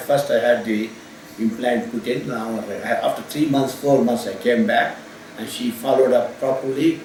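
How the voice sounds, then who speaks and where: Noticeable background noise runs under the recording. A man talks at a moderate pace and a medium pitch. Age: 70s. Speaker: general medical practitioner. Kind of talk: patient testimonial. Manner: hesitant, halting.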